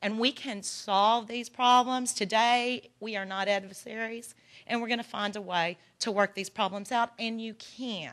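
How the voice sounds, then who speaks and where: A woman speaks with a Texan accent. Her pitch is fairly high. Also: quiet background. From Texas. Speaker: legal aid organization director. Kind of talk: conference presentation. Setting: workshop with audience.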